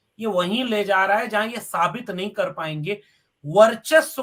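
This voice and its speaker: A man speaks in a Bihari accent at a high pitch. His pitch varies in an ordinary way. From Bhojpuri-speaking region of north India. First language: Bhojpuri (speaking Hindi). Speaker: professor. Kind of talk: political interview.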